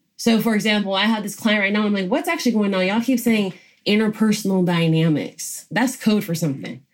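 Over a very clean recording with a silent background, a woman speaks very fast in a somewhat breathy voice at medium pitch. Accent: American. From US South (Georgia). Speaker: diversity and inclusion consultant. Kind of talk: interview.

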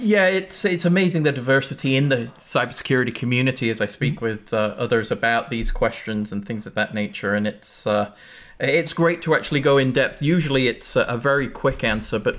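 In a very clean recording with a silent background, a man with an English accent talks at a fairly quick pace, his medium pitch carrying lively intonation. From England. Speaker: chief information security officer and podcast co-host. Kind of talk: casual chat. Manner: halting, many fillers.

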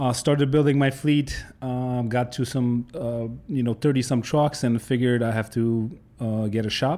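A man speaks at a moderate pace with a dark, mellow tone. His medium pitch holds fairly even intonation. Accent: Polish. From Poland. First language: Polish. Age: 30s. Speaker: trucking company owner. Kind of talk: casual interview.

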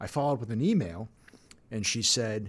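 Speaking at a fairly quick pace, a man with a medium pitch sounds somewhat breathy. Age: 50s. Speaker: financial advisor, firm founder. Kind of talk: casual chat.

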